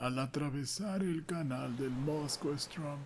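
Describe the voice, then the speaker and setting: A soft-spoken man talks at a very slow pace. His pitch is fairly high, with ordinary variation. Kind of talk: story reading. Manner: soft-spoken, slow.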